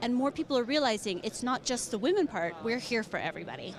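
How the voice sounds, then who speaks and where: Talking at a very fast pace with an American accent, a woman speaks at a high pitch over noticeable background noise. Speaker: business manager of a professional organization. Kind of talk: conference interview. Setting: conference floor. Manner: animated.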